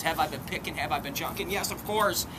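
Loud background noise surrounds a man as he talks. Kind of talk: casual vlog chat. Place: open country.

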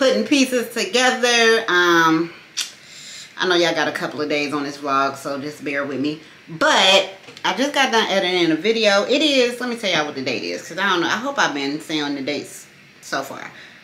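Audible room echo and light background noise surround a woman talking at a fairly quick pace. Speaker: vlogger. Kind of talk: casual vlog chat. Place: home room. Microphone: phone near.

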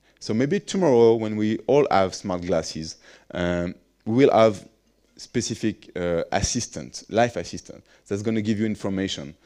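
Over a quiet background, a man talks at a moderate pace in a fairly low pitch and a dark, mellow tone, with ordinary pitch variation. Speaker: innovation expert; conference speaker. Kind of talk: conference presentation. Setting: stage with audience. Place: hall. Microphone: headset.

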